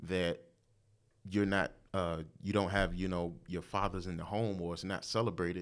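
A man with an American accent speaks in a normal speaking voice at fairly low pitch. His intonation is fairly even, and the recording is very clean with a silent background. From Portsmouth, Virginia. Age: 40s. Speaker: father and former church minister of music. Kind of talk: casual chat.

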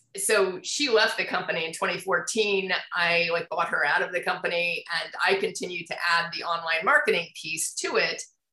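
A woman with an American accent speaks at a moderate pace, her medium pitch moving with ordinary variation. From Indianapolis, US Midwest. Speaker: business coach and marketing consultant. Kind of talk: casual interview.

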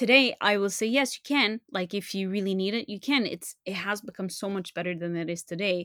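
A woman's medium-pitched voice in a Montreal accent at a fairly quick pace, with ordinary pitch variation, on a very clean recording with a silent background and a dry, close sound with no echo. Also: hardly any pauses. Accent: Montreal Canadian French-English. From Montreal, Canada. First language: French. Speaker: translator and podcaster. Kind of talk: casual interview chat. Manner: hesitant, many fillers.

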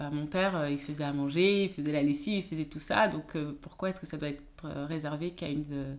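Speaking at a fairly quick pace, a woman uses a very deep, low pitch with fairly even intonation. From France, of Beninese descent. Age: 30s. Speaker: naturopath coach. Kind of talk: interview conversation. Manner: hesitant, many fillers.

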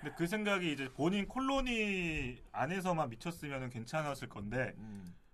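This man's pitch is fairly high and swings very widely. He keeps a moderate pace with hardly any pauses. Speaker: guest reviewer. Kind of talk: casual chat.

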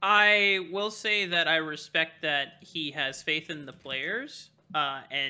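This is a man with an ordinary speaking voice. His pitch sits fairly high and moves in an ordinary way. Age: 20s. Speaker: esports caster. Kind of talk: casual chat.

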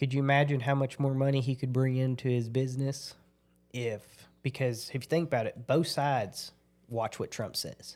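Speaking in a rural Oklahoma accent, a man with medium pitch keeps a monotone, flat intonation at a moderate pace in a very clean recording with a silent background. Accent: Southern Plains US (Oklahoma), rural. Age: 30s. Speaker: oil field worker and former rodeo cowboy. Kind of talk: casual chat.

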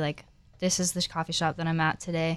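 On a very clean recording with a silent background, a voice with an American accent moves at a moderate pace with monotone, flat intonation. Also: woman. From Florida, US. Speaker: coffee shop Instagrammer. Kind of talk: casual interview chat.

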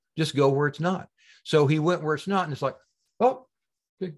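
At a fairly quick pace, a man talks in a somewhat breathy, fairly high voice. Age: old. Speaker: spiritual healer. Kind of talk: casual interview. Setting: video call.

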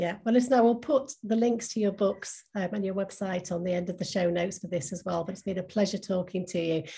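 Somewhat breathy and dark, mellow in tone, a woman speaks at a very fast pace with ordinary pitch variation. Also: quiet background. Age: 50s. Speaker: podcast host. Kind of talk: interview chat.

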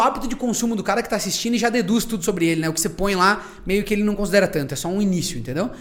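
A man's high voice at a very fast pace, hardly any pauses, ordinary pitch variation, and noticeable background noise. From Brazil, interior town. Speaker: content creator, podcast guest. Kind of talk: casual chat.

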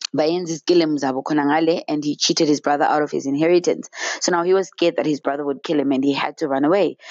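A woman speaks at a fairly quick pace in an animated tone, her pitch very deep and low for a woman. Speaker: faith vlogger. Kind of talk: inspirational Bible talk.

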